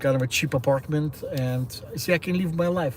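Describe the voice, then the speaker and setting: A somewhat breathy man with a Russian accent, speaking at a fairly slow pace. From Ukraine. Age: 60s. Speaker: livestreamer. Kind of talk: casual live-stream monologue. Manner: halting.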